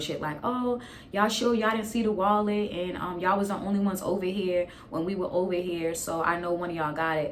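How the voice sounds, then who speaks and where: Through noticeable background noise, a woman with an American accent talks at a very fast pace with ordinary pitch variation. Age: 20s. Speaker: YouTuber. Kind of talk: casual storytime talk to camera. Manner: animated, comedic, profane.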